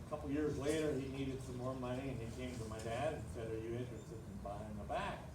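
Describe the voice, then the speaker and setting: A man talks at a very fast pace and medium pitch with hardly any pauses and ordinary pitch variation. Noticeable background noise and audible room echo are present. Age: 80s+. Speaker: retired airport founder. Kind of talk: oral history talk to a group.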